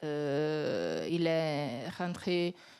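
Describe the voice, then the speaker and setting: Recorded very cleanly against a silent background, a woman speaks with an Italian accent and lively intonation. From Italy. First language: Italian (speaking French). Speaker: company executive. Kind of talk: panel discussion.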